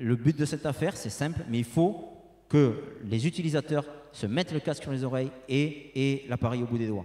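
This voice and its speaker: A man with a southern French accent speaks at a fairly high pitch. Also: ordinary pitch variation, moderate pace. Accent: southern French (Toulouse). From Toulouse, southern France. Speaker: industrial technology sales representative. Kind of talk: conference presentation and Q&A. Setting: conference room with audience. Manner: hesitant, many fillers and repetitions.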